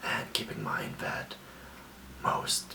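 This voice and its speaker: A man whispering at a fairly slow pace, with noticeable background noise. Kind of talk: ASMR self-care talk to camera. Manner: soft whisper, calming.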